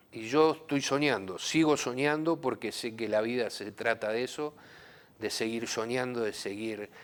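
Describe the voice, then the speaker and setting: With an unremarkable speaking voice, a man at medium pitch talks at a fairly slow pace with ordinary pitch variation. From southern Santa Fe, Argentina. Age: 60s. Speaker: musician, former football figure. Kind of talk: interview. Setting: studio.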